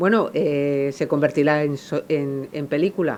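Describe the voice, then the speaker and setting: Ordinary pitch variation in a woman's very deep, low-pitched voice. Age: 50s. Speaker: novelist. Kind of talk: public talk Q&A. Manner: halting, many repetitions and fillers.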